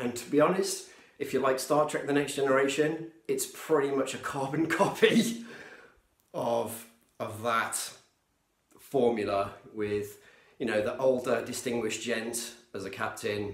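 There is audible room echo around a man's voice. He talks at a fairly slow pace with long, frequent pauses. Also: quiet background. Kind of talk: casual vlog chat. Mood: enthusiastic, nostalgic. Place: home room. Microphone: phone near.

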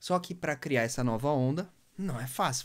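The speaker has a Brazilian accent. The background is quiet. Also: man. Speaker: music producer and DJ mentor; DJ mentor. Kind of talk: live stream talk. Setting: Instagram live. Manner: casual, slangy. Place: studio. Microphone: phone near.

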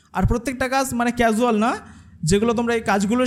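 A man speaks in a high pitch with ordinary pitch variation. Noticeable background noise runs underneath. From India, West Bengal (Jibantala). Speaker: content creator and course co-founder. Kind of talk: presentation to audience.

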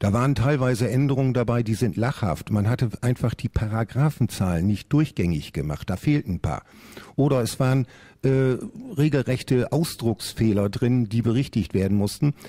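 A man's medium-pitched voice with a dark, mellow tone, very even loudness, ordinary pitch variation, and a quiet background. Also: moderate pace. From Lower Saxony, Oldenburg; Lower Saxony. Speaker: parliamentary candidate; candidate. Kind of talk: radio panel debate. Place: studio.

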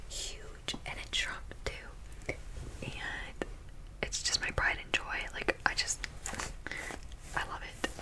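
A woman talks at a very slow pace with long, frequent pauses. Loud background noise runs behind her. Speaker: ASMR content creator. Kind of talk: ASMR clothing try-on haul. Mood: cheerful, playful. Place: home room. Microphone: studio mic.

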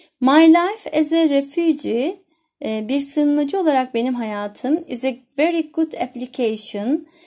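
A woman talks very slowly in a high voice with a dark, mellow tone. Her intonation is lively, and the background is quiet. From Turkey. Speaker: English teacher. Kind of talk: lesson explaining vocabulary and grammar. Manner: slow, repeating and translating phrases. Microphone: phone near.

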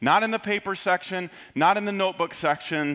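A man's bright, sharp tone at a moderate pace, with ordinary pitch variation and a quiet background. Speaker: pastor. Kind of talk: sermon. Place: church. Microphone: headset.

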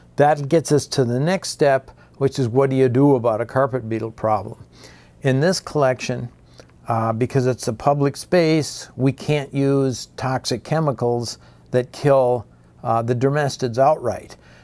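This man's tone is dark and mellow, his intonation fairly even, and his pace moderate. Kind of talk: tutorial. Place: hall. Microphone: lapel.

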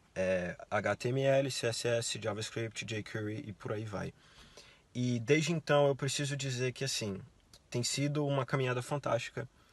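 Somewhat breathy, a man speaks at medium pitch with ordinary pitch variation and a fairly slow pace, in a dry sound with no echo. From Brazil. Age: 20s. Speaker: university student; interviewee. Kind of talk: interview. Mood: relaxed, friendly. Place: car. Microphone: phone near.

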